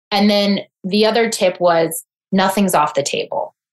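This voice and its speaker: An unremarkable speaking voice at a fairly slow pace with ordinary pitch variation. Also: woman. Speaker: mindset coach. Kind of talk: interview conversation.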